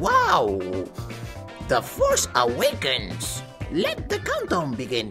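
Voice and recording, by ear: A cartoonish character voice talks at a very slow pace over clear background music.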